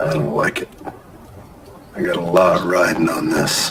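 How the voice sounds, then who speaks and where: Putting on a character voice in a rural Western US accent, a man sounds raspy and very deep, low in pitch, talking at a moderate pace over clear background noise. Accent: rural American Western drawl. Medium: short film. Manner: gruff, curt.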